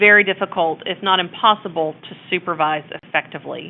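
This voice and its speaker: A woman with a Texas accent speaks with ordinary pitch variation. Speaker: abuse prevention consultant. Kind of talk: webinar presentation. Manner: casual, hesitant with fillers.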